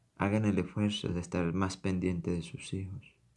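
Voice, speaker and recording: The speech runs at a fairly slow pace with fairly even intonation. Audible room echo surrounds it. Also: man. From Venezuela, Táchira. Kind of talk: sermon.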